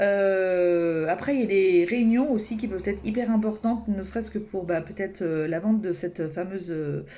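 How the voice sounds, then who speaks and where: Her voice rests at a medium pitch. The woman's pitch moves in an ordinary way. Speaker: tarot card reader. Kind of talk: weekly energy reading. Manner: fast; hesitant, many fillers.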